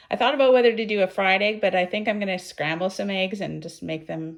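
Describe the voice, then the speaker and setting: Noticeable background noise sits behind a woman with a Canadian accent, medium pitch and ordinary pitch variation. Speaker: budget cooking vlogger. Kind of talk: casual cooking vlog.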